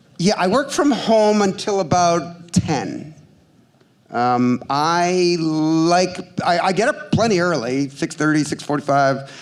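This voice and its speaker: A man speaks with a high pitch and lively intonation, his loudness very even. Long, frequent pauses break up his speech, and room echo is audible. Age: 60s. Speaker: ad tech investment banker. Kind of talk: live stage interview. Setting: stage with audience. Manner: animated.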